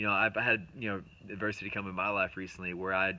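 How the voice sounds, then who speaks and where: The man's voice sits somewhat low. He talks very rapidly. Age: 20s. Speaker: motivational speaker. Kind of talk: motivational talk to camera. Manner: casual, with many fillers and repetitions.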